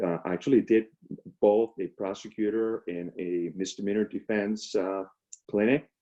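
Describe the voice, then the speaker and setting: A man with a Spanish accent talks in a fairly low pitch with fairly even intonation. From Venezuela, Caracas. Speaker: public defender. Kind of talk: career talk. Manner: halting, many fillers.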